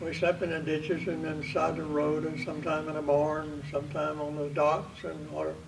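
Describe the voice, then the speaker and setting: A man with a Southern US accent at a fairly quick pace with hardly any pauses, in monotone, flat intonation, amid noticeable background noise and audible room echo. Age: 90s. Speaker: war veteran. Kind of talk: storytelling.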